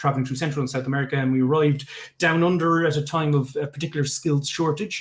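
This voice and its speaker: This man talks at a very fast pace in a fairly high voice that is somewhat breathy. His pitch varies in an ordinary way. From Ireland, Limerick. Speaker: tech founder. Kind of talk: pitch talk. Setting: live online event. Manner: hesitant, many fillers.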